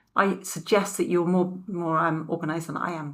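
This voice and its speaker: A woman speaks with a fairly low pitch and fairly even intonation. The recording is very clean, with a silent background. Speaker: video ad creator teaching video recording. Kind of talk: tutorial. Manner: fast; casual, chatty.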